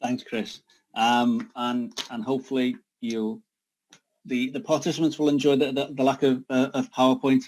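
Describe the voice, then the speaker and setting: At a moderate pace, a man with a Liverpool accent speaks at medium pitch with ordinary pitch variation. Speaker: sustainability partnership leader. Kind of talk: online talk presentation.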